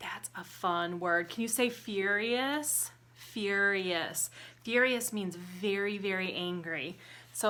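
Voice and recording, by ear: The text is read aloud in a natural voice, its pitch varying in an ordinary way.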